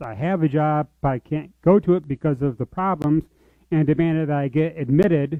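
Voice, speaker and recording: A man's fairly high-pitched, normal speaking voice with fairly even intonation. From US, military family, born in Georgia. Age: 40s. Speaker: church member sharing life story. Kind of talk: testimony.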